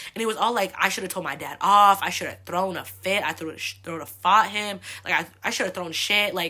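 A woman with an American accent talks at a fairly quick pace in an animated, bright, sharp tone, on a very clean recording with a silent background. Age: 20s. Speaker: solo podcast host. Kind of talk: casual monologue.

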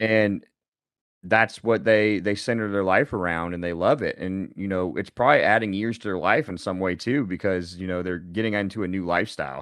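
Over a quiet background, a man with a plain, everyday voice speaks at a fairly quick pace, fairly low in pitch with ordinary pitch variation. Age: 30s. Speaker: bodybuilding coach and podcast co-host. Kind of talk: casual chat.

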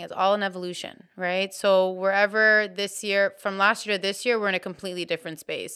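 Her tone is bright and sharp, at a medium pitch, as a woman talks at a moderate pace. The recording is very clean, with a silent background. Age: 20s. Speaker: wellness shop owner. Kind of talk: casual interview.

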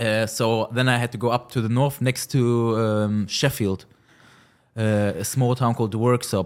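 The speaker has a German accent. The intonation stays fairly even. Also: man. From Germany, Cologne. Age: 20s. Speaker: car rental business owner. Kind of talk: interview.

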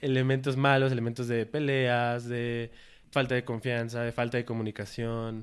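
A man's medium-pitched, flat monotone at a moderate pace. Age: 20s. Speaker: logistics worker. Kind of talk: casual chat.

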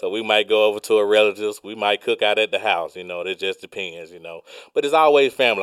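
This man talks with a Southern US accent at a fairly quick pace. His voice has a fairly low pitch. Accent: Southern US (Georgia). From Georgia, US South. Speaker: truck driver. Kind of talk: casual interview.

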